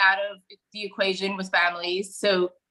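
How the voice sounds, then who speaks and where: A woman speaks at a moderate pace in a bright, sharp tone. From Romania. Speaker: political commentator. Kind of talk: interview.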